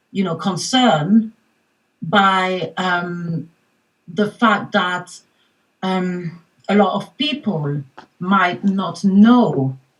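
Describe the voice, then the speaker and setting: A woman's medium-pitched voice, with ordinary pitch variation, is accompanied by music in the background. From France, Paris. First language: French. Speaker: mindfulness coach. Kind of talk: panel discussion.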